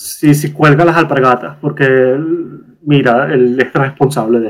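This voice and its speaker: The voice belongs to a man. He speaks with an eastern Venezuelan accent. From eastern Venezuela, Puerto La Cruz. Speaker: guest. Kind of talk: casual chat. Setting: video call. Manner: strong intonation inflections.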